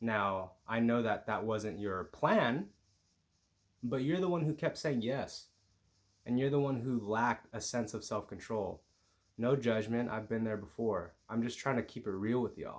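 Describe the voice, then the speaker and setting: Quietly, a man speaks at a moderate pace and medium pitch with ordinary pitch variation. The recording is very clean, the background silent. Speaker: YouTuber and marijuana mindfulness coach. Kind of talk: motivational vlog. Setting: at home with housemates. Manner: lower energy.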